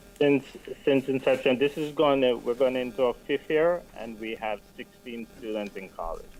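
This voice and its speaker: Speaking at a moderate pace, a man uses a medium pitch with ordinary pitch variation and big swings in loudness. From Jamaica. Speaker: non-profit scholarship program director. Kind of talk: radio interview. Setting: studio.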